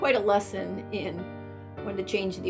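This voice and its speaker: Music plays in the background as a woman speaks. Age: 60s. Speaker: craft business owner. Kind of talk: testimonial interview answer.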